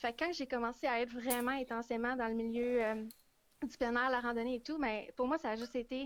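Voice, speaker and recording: A woman's high-pitched voice, fairly quick, in a monotone, flat intonation. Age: 20s. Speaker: hiking influencer and student. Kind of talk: casual interview on live stream. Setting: Facebook live video call.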